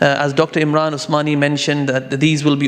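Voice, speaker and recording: Talking at a very fast pace, a man with a fairly high pitch is heard over noticeable background noise. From London, England. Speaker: lawyer and Islamic finance expert. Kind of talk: conference talk. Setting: conference stage with audience. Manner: hesitant, many fillers.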